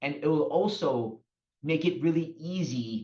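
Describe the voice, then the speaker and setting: A man's fairly high-pitched voice with lively intonation. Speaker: company marketing executive. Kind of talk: business webinar presentation. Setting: online webinar. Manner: deliberately slowed pace.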